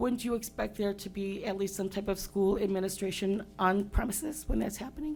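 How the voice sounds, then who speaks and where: A woman talks at a fairly quick pace with hardly any pauses and ordinary pitch variation. Noticeable background noise sits behind her. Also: medium pitch for a woman. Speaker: parent giving public comment. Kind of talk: public comment at school board meeting. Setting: school board meeting. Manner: fast.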